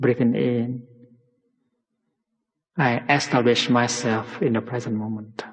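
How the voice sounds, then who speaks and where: A soft-spoken man talks at a very slow pace. His pitch sits in the middle range and his intonation stays fairly even. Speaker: meditation teacher. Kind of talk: guided meditation. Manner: relaxing, peaceful, soft-spoken.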